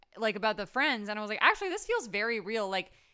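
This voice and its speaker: A fairly high-pitched woman's voice, bright, sharp and animated, on a very clean recording with a silent background. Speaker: podcast co-host. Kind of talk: casual chat.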